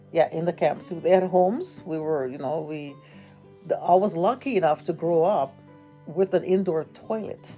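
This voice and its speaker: A woman with a Hawaiian accent, fairly low in pitch, at a moderate pace with ordinary pitch variation and music in the background. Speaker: grandmother. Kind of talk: interview answer.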